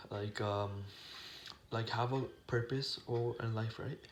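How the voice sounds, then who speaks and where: A man mumbles at a medium pitch, sounding somewhat breathy. His intonation is fairly even. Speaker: YouTuber vlogger. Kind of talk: casual monologue vlog. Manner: mumbling; halting, many fillers and restarts.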